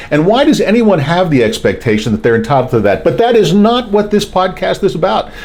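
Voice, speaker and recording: A man with an American accent speaks in an animated tone with very wide pitch swings, over noticeable background noise. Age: 60s. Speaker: podcast host. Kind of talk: opinion monologue.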